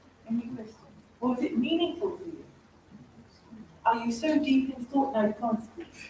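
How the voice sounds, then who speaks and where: A woman with a high voice speaks at a moderate pace with ordinary pitch variation, big swings in loudness and long, frequent pauses, over noticeable background noise. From England. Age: 60s. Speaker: stress expert and TV and radio presenter. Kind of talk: motivational talk. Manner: animated.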